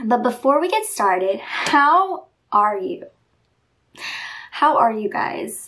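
The background is quiet as a woman speaks. Her pace is very slow. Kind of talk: casual vlog chat. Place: home room. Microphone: phone near.

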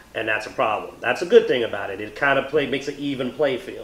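A man's voice carries an audible room echo. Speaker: tabletop game reviewer. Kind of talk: review discussion. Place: home room.

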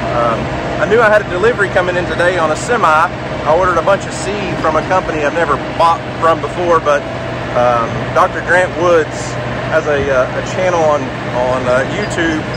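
Amid loud background noise in a dry sound with no echo, a man talks at a fairly quick pace with ordinary pitch variation. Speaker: homesteader vlogger. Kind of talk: casual vlog chat. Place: farm machine. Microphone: phone near.

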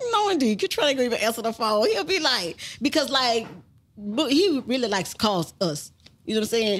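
With an American accent, a woman speaks at a fairly quick pace. Her fairly high voice moves through very wide pitch swings. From Baton Rouge, Louisiana; Louisiana. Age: 40s. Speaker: rapper's mother; podcast guest. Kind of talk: casual interview. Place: studio. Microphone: studio mic.

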